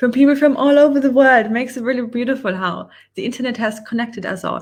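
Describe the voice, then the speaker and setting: A woman speaks with a German accent. Her intonation is fairly even. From Germany. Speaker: online business coach. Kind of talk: live webinar presentation. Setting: livestream with screen share.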